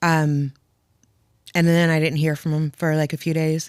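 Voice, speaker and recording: Very deep, low pitch from a woman with a New Jersey accent, at a moderate pace, in a dry, close sound with no echo on a very clean recording with a silent background. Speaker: widow sharing her story. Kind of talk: podcast interview.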